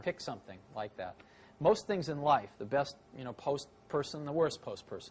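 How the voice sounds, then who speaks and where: Somewhat breathy and fairly high-pitched, a man with an American accent talks at a moderate pace. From San Francisco Bay Area, USA. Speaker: tech entrepreneur. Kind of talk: interview answer.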